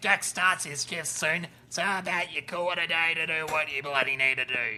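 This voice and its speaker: This put-on character voice moves at a moderate pace with ordinary pitch variation. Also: man, fairly high pitch for a man. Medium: audio drama. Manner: blunt, swearing.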